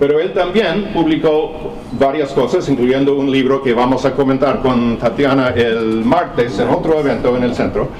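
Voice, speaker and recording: With a non-native accent, a man talks at a moderate pace with ordinary pitch variation amid audible room echo and noticeable background noise. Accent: foreign accent in Spanish. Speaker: professor. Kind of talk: lecture. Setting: seminar with audience. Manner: halting.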